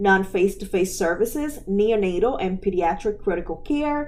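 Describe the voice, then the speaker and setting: A woman's dark, mellow tone with lively intonation, a moderate pace and audible room echo. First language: not English. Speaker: medical coding educator, podcast host. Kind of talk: educational podcast lecture. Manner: conversational, with filler words.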